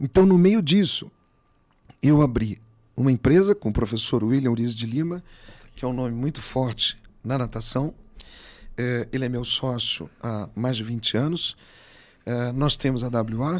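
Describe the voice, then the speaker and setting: Speaking at a fairly slow pace with long, frequent pauses, a man uses lively intonation. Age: 60s. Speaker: physical education professional; podcast guest, swimming teacher. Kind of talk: interview. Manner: animated. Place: studio. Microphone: studio mic.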